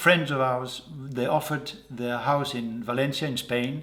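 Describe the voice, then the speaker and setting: A man speaks with a Dutch accent. His medium-pitched voice keeps a fairly even intonation. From Netherlands. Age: 60s. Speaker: portrait painter. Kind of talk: interview. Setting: artist's studio. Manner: halting.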